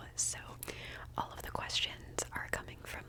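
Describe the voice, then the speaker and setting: Noticeable background noise around a woman's whisper. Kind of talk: ASMR personal questions video. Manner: whispered, soft-spoken.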